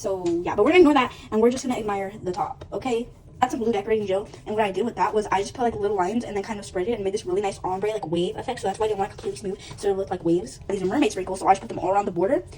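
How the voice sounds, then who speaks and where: With noticeable background noise behind her, a woman of medium pitch talks at a very fast pace with hardly any pauses and ordinary pitch variation. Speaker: home cooking vlogger. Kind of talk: cooking tutorial vlog. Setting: home kitchen. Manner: casual, filler-heavy; talking quietly.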